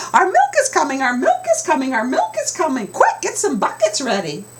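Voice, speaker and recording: Squeaky and extremely high, this put-on character voice moves at a fairly quick pace over light background noise. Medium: read story. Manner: squawking, sassy.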